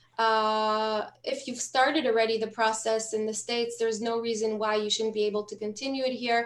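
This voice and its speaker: Speaking with a non-native accent, a woman keeps a moderate pace. Her intonation is monotone and flat. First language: not English. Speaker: health clinic staff. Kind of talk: webinar Q&A. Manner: halting.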